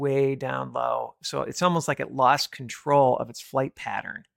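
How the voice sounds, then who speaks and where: This man has an American accent. His voice is recorded dry and close, without any echo. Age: 50s. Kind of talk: monologue commentary.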